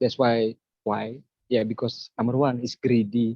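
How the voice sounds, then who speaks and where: A man is speaking. His pace is very slow. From Indonesia (Bali). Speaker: craftsman and spiritual practitioner. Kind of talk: interview conversation. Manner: halting.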